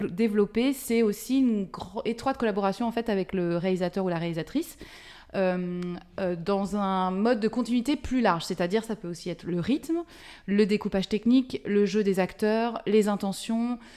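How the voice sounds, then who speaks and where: A woman speaks at a fairly slow pace and medium pitch, with a dark, mellow tone and ordinary pitch variation. The recording is very clean, with a silent background. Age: 40s. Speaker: film script supervisor. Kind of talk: interview. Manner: halting, many hesitations.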